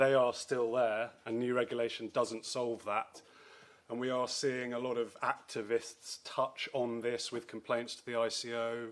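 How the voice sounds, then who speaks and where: A man with a British accent talks at a medium pitch. His intonation is monotone and flat, while his loudness swings a great deal. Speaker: lawyer specialising in data and AI. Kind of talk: conference talk. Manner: fast.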